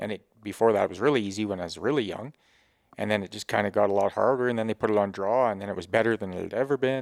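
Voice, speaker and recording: A man speaks very fast with a western Canadian accent, his pitch fairly low and ordinary in variation. The recording is very clean, with a silent background. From Grande Prairie area, Alberta, Canada. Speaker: hunting outfitter and guide. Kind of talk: casual chat. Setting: in a home.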